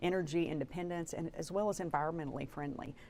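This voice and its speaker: The speaker has an Arkansas accent and fairly even intonation. The pace is fairly quick. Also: woman. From Arkansas, Batesville. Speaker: politician. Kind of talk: TV interview.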